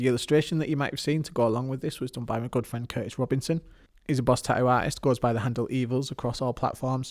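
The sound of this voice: An unforced reading voice carries the passage.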